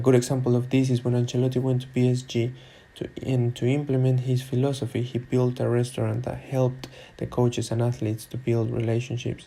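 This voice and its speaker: Speaking at a fairly quick pace, a man with a non-native accent uses a medium pitch, a dark, mellow tone, a somewhat breathy sound and monotone, flat intonation. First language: not English. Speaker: student and football coach. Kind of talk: academic presentation.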